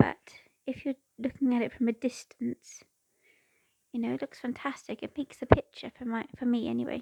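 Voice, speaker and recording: A woman with a British accent talks at a fairly quick pace in a high pitch and a dark, mellow tone, her intonation monotone and flat, her loudness swinging widely, with long, frequent pauses and a dry, close sound with no echo. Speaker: cross-stitch crafter. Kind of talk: casual chat while stitching.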